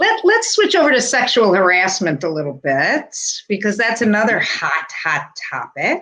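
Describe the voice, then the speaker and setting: A woman's fairly high, bright and sharp voice with vocal fry and very wide pitch swings. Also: moderate pace. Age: 60s. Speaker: interviewer, realtor. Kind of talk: casual interview.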